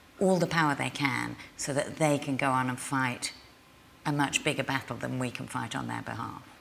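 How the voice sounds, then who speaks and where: At a moderate pace, a woman talks with light background noise behind her. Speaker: interviewee. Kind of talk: interview answer. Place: hall.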